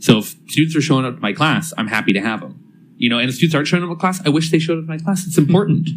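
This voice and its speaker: Speaking at a very fast pace, a man talks. He has an American accent. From California, Salinas Valley. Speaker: college professor. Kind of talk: casual chat.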